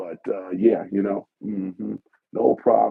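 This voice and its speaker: A man with a very deep, low pitch and lively intonation, at a very slow pace. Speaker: podcaster, live streamer; former DJ. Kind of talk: casual conversational slang. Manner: relaxed, casual, lots of filler words.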